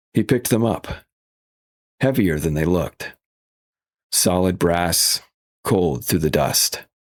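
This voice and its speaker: A man with a very deep, low pitch and vocal fry speaks at a fairly slow pace. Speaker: audiobook narrator / voice actor. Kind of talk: audiobook narration of a literary thriller.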